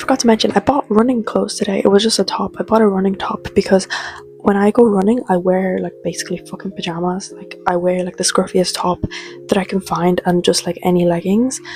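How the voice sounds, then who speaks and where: Music plays in the background as a woman with an Irish accent speaks at a fairly quick pace. Her pitch is medium, with ordinary pitch variation. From Ireland. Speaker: vlogger. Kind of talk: casual vlog chat. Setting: at home, indoors. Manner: whispering; casual, filler-heavy.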